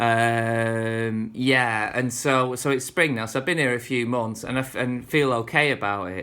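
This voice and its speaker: A man's bright, sharp, relaxed tone with fairly even intonation and hardly any pauses. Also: medium pitch for a man, fairly slow pace. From northern England. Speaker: vlogger. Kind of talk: casual vlog monologue. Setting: speaking to camera at home. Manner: relaxed, rambling with fillers.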